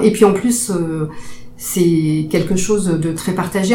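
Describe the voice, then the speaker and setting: A woman talks at a medium pitch with fairly even intonation. Noticeable background noise and audible room echo are present. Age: 50s. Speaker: psychiatric nurse. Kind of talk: interview. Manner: hesitant, many fillers.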